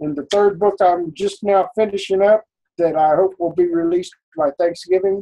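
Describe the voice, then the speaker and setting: Ordinary pitch variation in a man's speech. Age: 60s. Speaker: fantasy author, retired software developer. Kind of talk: casual interview chat. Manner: hesitant, many fillers.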